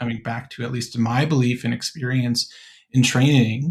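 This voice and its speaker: In a very clean recording with a silent background, a man speaks at a medium pitch. His voice is somewhat breathy, and his intonation fairly even. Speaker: podcast host, college admissions worker. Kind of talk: podcast conversation.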